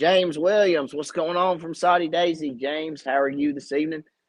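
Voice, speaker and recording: In an Appalachian accent, a man talks at a moderate pace. His intonation stays fairly even. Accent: Southern US (Appalachian). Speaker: fishing channel host and tackle maker. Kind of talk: live stream Q&A chat. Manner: casual, chatty.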